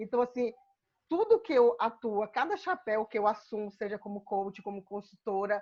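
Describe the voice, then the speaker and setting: With a Bahian accent, a woman speaks using lively intonation. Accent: Bahian accent, drawling. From Bahia, Brazil. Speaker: speaker and coach. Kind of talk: lecture. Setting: video call.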